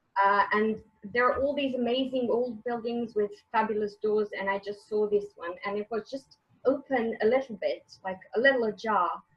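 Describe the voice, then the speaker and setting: Here a woman speaks with a Croatian accent at a moderate pace. Her pitch is fairly high and her intonation fairly even. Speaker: author and English teacher. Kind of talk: interview. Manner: halting.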